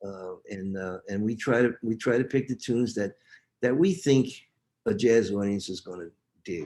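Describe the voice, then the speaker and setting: A man's medium-pitched, dark, mellow voice at a moderate pace, with ordinary pitch variation and big swings in loudness. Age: 80s. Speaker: jazz musician, book author. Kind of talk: interview answer, casual talk. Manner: conversational, hesitant, with filler words.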